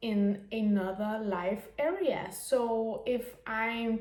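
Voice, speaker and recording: The speaker has a Danish accent. Pitch varies in an ordinary way. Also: woman. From Denmark. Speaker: business mentor. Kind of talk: unscripted monologue. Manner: halting.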